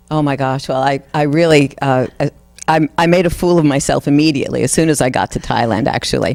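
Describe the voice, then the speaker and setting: A woman with a very deep, low pitch, fairly even intonation, and a fairly quick pace over noticeable background noise. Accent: New York. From New York. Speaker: singer. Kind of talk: interview.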